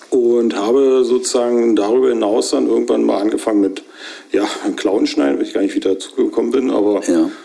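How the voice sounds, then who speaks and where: A man is talking fairly quickly. Background noise can be clearly heard. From Brandenburg, Hoher Fläming. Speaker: cattle farmer and butcher. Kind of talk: interview.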